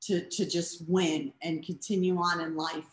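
Her voice is somewhat breathy, with an American accent and fairly even intonation. The woman is heard in a room with audible echo. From Boston. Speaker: cancer patient and award honoree; guest. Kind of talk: casual interview. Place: home room. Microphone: video call.

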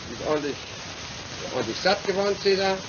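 Noticeable noise runs under a man's speech. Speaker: historical figure at home. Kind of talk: casual talk to a pet animal. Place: garden. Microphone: old recording.

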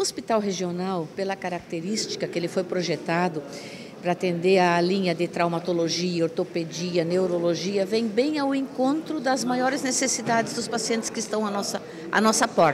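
Speech comes at a moderate pace with lively intonation. Noticeable background noise sits behind it. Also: woman. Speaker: hospital administrator. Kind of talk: news interview. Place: hall. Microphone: handheld.

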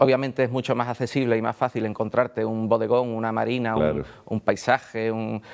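A man talks with monotone, flat intonation. The background is quiet. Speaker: interview guest. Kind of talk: interview answer. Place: studio. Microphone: lapel.

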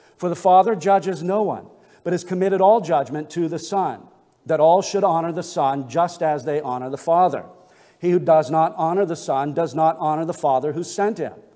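Over a quiet background, a man talks at a fairly quick pace and a high pitch. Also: ordinary pitch variation. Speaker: pastor. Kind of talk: sermon. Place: church. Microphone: podium.

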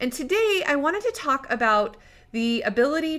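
A plain, everyday voice at a moderate pace with lively intonation, on a very clean recording with a silent background. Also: woman. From Idaho, US. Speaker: podcast host. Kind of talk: scripted narration; interview.

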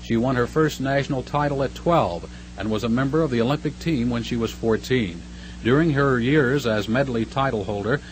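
Noticeable background noise surrounds a man speaking at a moderate pace and medium pitch, his tone upbeat and his pitch variation ordinary. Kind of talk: newsreel narration. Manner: brisk, formal, upbeat announcer delivery; polished mid-century newsreel cadence.

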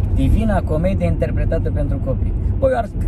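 A man speaking at a fairly quick pace, dry sound with no echo, over loud background noise. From Romania. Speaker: stand-up comedian. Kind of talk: casual chat. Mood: joking, playful. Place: car. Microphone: phone near.

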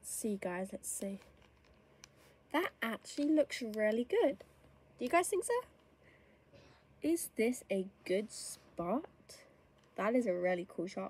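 A woman speaks in a somewhat breathy, fairly high voice with very wide pitch swings. Her pace is fairly slow, with long, frequent pauses. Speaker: gamer. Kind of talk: gameplay commentary. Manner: animated.

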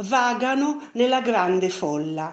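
A woman speaks at a very slow pace in a theatrical tone. Her intonation is lively. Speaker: library video presenter reading a poem. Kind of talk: poetry reading, slow and solemn, after an ornate, flowery introduction. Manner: measured, tender and lyrical, with reverent pauses between lines; formal, effusive and theatrical in the introduction.

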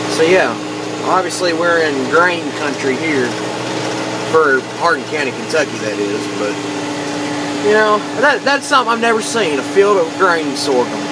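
Loud background noise sits under a dry, echo-free voice moving at a moderate pace with long, frequent pauses. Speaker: tractor driver. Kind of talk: casual vlog commentary. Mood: curious, relaxed. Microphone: phone near.

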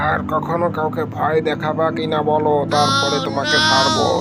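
A man's cartoonish character voice, fairly slow in pace, under loud background noise.

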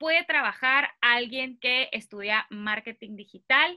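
A woman projects her high, raised voice at a fairly slow pace. Her tone is bright and sharp, and her intonation is lively. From Mexico, Mexicali; Mexico. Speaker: vocational guidance YouTuber. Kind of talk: interview.

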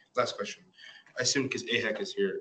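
A man speaks very fast, with light background noise behind him. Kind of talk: meeting discussion. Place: meeting room. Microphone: camera far.

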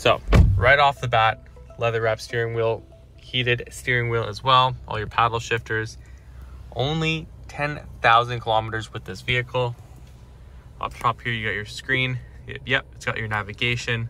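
Over music in the background, a man speaks with big swings in loudness and long, frequent pauses, in a dry sound with no echo. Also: moderate pace. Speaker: car salesperson. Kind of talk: product walkaround commentary. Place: shop. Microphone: phone near.

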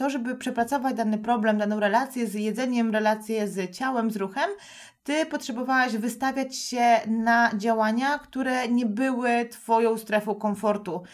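Delivered at a moderate pace with fairly even intonation, the speech sits in a very clean recording with a silent background. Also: woman. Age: 30s. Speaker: podcast host and nutrition coach. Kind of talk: casual interview chat.

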